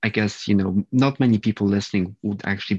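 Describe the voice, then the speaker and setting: The speech comes very fast with fairly even intonation, in a dry, close sound with no echo and a quiet background. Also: man. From Poland. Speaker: podcast host. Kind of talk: casual interview chat.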